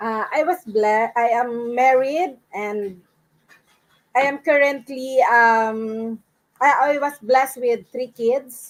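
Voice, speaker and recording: A woman with a high pitch and a Filipino accent, at a very slow pace and with ordinary pitch variation. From Philippines, Palawan. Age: 60s. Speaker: accounting course student. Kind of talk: live interview.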